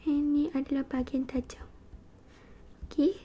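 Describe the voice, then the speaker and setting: A soft-spoken woman whispers. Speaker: ASMR creator. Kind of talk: ASMR role-play medical examination. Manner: soft-spoken, whispering.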